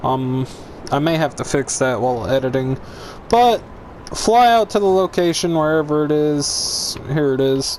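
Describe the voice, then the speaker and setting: Over noticeable background noise, a man with a fairly high pitch talks at a fairly slow pace with lively intonation. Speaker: gaming YouTuber. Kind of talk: gameplay tutorial. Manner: loud, hyper.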